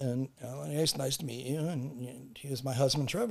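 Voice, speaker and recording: The speaker has an American accent and sounds somewhat breathy. The pace is fairly quick. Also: man. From Los Angeles, California. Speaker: car broker. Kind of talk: casual interview chat. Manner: halting, many restarts and fillers.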